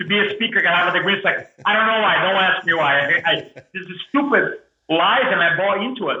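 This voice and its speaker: A man with a strong Brazilian accent at a very fast pace, with ordinary pitch variation. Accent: thick Brazilian. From Brazil, Porto Alegre. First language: Portuguese. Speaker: motivational speaker. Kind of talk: podcast interview storytelling. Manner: animated.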